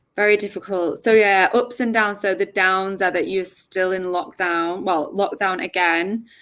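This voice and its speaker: A woman talks at a moderate pace with hardly any pauses and fairly even intonation. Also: medium pitch for a woman. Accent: English. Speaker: English tutor. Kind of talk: casual chat. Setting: video call. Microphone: laptop.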